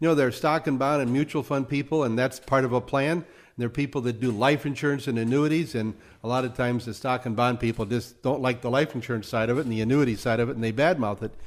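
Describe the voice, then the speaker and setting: This man talks at a very fast pace, his medium-pitched voice carrying fairly even intonation. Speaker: radio host and financial adviser. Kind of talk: radio interview. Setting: radio studio.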